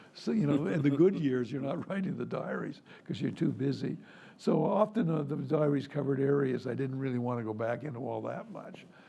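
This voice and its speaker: A man's fairly high-pitched, lively voice at a fairly quick pace, with audible room echo and noticeable background noise. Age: 80s+. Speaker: retired foreign correspondent. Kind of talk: public conversation. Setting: stage with audience.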